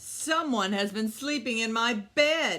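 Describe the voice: Slowly and with lively intonation, a woman does a put-on character voice at a fairly high pitch with a bright, sharp tone.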